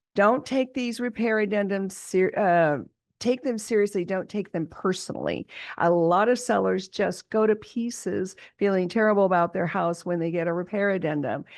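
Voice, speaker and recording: A woman speaks at a moderate pace in an ordinary speaking voice, her medium pitch showing ordinary pitch variation against a quiet background. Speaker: real estate broker and podcast host. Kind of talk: podcast monologue. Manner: casual with fillers.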